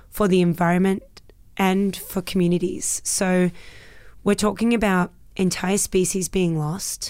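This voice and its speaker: In an Australian accent, the speaker talks at a fairly slow pace with monotone, flat intonation and very even loudness on a very clean recording with a silent background. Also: woman, medium pitch for a woman. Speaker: actress and voice performer. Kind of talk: casual interview chat. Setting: studio.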